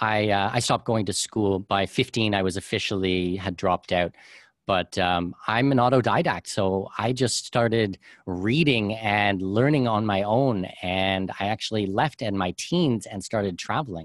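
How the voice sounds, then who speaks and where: A man with an unremarkable speaking voice talks at a moderate pace in a fairly low pitch with ordinary pitch variation. The recording is very clean with a silent background and a dry, close sound with no echo. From Canada. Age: 30s. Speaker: author and podcast host on expat tax strategy. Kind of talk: interview.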